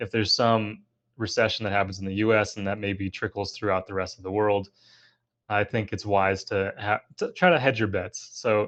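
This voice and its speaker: A man's fairly low voice comes out monotone, with flat intonation. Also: quiet background. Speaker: crypto guest, aerospace engineer in defense industry. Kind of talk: casual podcast interview. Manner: fast.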